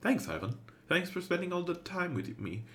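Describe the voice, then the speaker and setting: Putting on a squeaky character voice, a man speaks high in pitch with lively intonation at a moderate pace. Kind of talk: friendly livestream chat.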